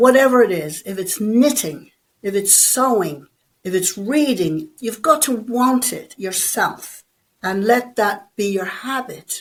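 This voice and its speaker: With an Irish accent, a woman speaks very slowly at a fairly high pitch, her intonation lively. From Ireland. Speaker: bodybuilder and personal trainer. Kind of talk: interview.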